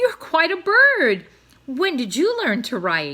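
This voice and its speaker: Someone performs a high-pitched put-on character voice. The pace is fairly slow. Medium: read story.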